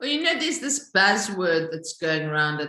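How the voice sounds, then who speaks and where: There is noticeable background noise as a woman speaks with a Zulu accent. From South Africa. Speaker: social entrepreneur, company founder. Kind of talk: interview.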